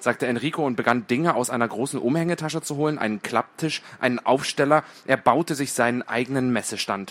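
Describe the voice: The clip is plain reading aloud. Pitch varies in an ordinary way.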